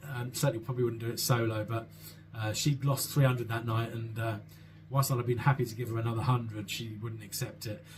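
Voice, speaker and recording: Somewhat breathy, the voice moves at a very fast pace in a monotone, flat intonation. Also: man, medium pitch for a man. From South London, England. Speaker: vlogger. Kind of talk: Q&A answering viewer questions. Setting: solo at home with a mug of tea. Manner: hesitant, many fillers and repeats.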